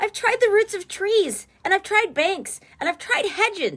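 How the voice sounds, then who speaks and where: In a put-on character voice, a woman squeaks at an extremely high, shrill pitch, her intonation lively and her pace fairly slow. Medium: read story. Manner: shrill, aggrieved.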